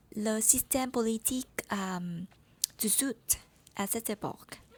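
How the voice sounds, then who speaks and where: Somewhat breathy, a woman with a fairly high pitch speaks at a very slow pace. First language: Vietnamese (speaking French). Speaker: French learner vlogger. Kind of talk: personal vlog monologue.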